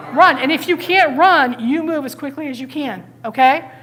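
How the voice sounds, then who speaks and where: Over noticeable background noise, a woman with an American accent speaks at a high pitch, fairly quickly, with lively intonation. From Connecticut. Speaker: police officer and safety trainer. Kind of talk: training talk. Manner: fast; loud.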